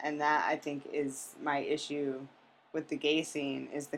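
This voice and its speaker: A woman speaks in a very deep, low voice with monotone, flat intonation. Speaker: podcast guest. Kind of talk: casual chat.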